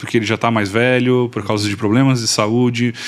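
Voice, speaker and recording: A man with an unremarkable speaking voice talks at medium pitch. His pace is fairly quick. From southern Brazil, Florianópolis, Santa Catarina. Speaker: missionary. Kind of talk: interview.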